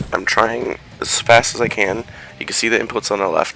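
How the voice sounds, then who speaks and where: Over clearly audible background noise, a man's speech moves at a moderate rate. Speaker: fighting game player. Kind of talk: gameplay tutorial commentary.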